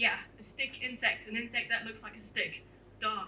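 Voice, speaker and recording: The woman's voice is raised and projected. She speaks at a fairly slow pace. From France, moved to New Zealand at eleven. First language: French. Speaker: entomologist giving a talk. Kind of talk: popular science talk. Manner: animated.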